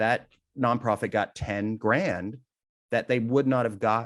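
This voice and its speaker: At a moderate pace, the speaker uses a plain, everyday voice with ordinary pitch variation. The recording is very clean, with a silent background. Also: man. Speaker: benefit auctioneer. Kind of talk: interview.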